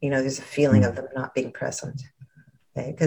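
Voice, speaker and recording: This woman's voice sits very deep and low in pitch, somewhat breathy. Her intonation stays fairly even. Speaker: therapist and guide. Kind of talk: guided meditation. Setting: video call. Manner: soft-spoken, soothing.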